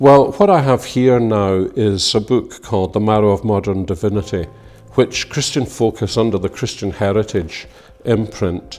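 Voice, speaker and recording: Speaking at a moderate pace with a Scottish accent, a man uses a fairly low pitch and ordinary pitch variation. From Scotland. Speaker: minister and theologian. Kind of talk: informal talk about a book. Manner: hesitant, with fillers.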